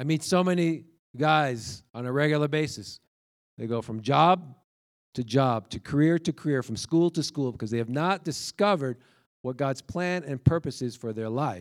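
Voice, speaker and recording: This is a man with a normal speaking voice, fairly high in pitch and at a moderate pace. The recording is very clean, with a silent background. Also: lively intonation. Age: 50s. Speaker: preacher. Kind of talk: sermon.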